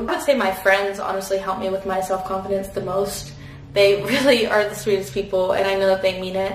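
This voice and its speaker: A woman speaks at a moderate pace with light background noise and audible echo in the room. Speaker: vlogger. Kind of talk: casual vlog chat, Q&A while doing makeup. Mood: relaxed, cheerful. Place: bathroom. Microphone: camera far.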